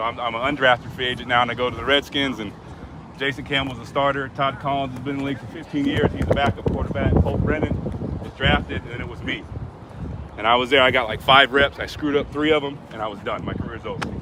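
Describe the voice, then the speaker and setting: Very fast and with big swings in loudness, a man at medium pitch speaks over noticeable background noise. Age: 30s. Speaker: former football quarterback, motivational speaker. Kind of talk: motivational talk to young players. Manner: animated.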